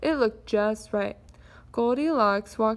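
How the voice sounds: The reader uses a natural reading voice.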